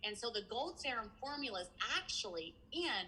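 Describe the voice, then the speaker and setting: A woman talks with a Kentucky accent at a moderate pace. Her pitch swings very widely over noticeable background noise. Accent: Southern US, Kentucky. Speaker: skincare entrepreneur. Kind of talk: interview answer. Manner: blunt, casual.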